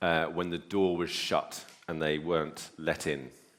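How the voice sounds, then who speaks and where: A man talks at a fairly slow pace. His pitch is very deep and low. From Northern Ireland. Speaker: preacher. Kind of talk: sermon. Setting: church. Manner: hesitant with frequent fillers.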